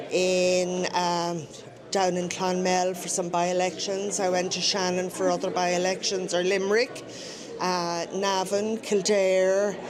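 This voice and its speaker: A woman with a Dublin accent speaks at a fairly slow pace, medium in pitch and monotone, with flat intonation. Music plays in the background, and the room echo is audible. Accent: Dublin Irish. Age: 60s. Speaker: election tally volunteer. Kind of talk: live radio interview.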